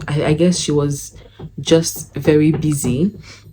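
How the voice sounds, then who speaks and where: The voice has fairly even intonation over noticeable background noise. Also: woman. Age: 20s. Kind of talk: personal story told to camera.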